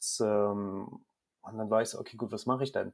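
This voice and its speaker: Moderately paced male speech, pitch varying in an ordinary way, the recording very clean and the background silent. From Germany, Rhineland-Palatinate (rural). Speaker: photographer. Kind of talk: interview. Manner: halting, many repetitions and fillers.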